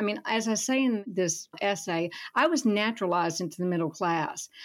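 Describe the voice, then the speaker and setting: This woman speaks at a medium pitch in a Southern US accent. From Alabama, Gulf Coast (Foley). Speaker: writer and professor emerita. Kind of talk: radio interview. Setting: remote call.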